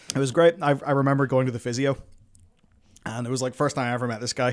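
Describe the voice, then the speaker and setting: A man talks in an animated tone. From Northern Ireland. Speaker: gaming streamer. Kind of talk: casual chat. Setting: live stream.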